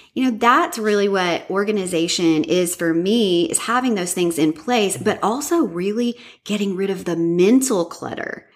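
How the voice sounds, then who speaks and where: A woman's American-accented voice at a medium pitch, with lively intonation, a moderate pace and hardly any pauses. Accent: American, self-described as cringy. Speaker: professional organizer and podcaster. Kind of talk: interview.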